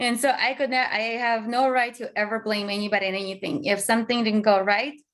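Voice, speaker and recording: Spoken very fast with a non-native accent, the voice holds a fairly even intonation. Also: woman, fairly high pitch for a woman. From Azerbaijan. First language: not English. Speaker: tech company founder and CEO. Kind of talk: interview conversation.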